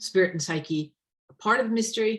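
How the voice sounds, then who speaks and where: At a fairly quick pace, a woman's somewhat breathy voice carries ordinary pitch variation. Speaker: tarot deck author and witch teacher. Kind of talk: online presentation.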